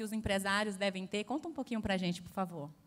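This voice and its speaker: With a Bahian accent, a woman talks at a fairly high pitch and ordinary pitch variation. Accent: Bahian Brazilian Portuguese. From Bahia, Brazil. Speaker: panel moderator. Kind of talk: panel discussion.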